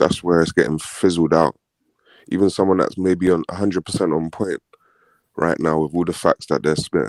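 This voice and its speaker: Vocal fry runs through this man's very deep, low voice, which has ordinary pitch variation and a dry, close sound with no echo. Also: fairly quick pace. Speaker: caller on live stream. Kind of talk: casual chat.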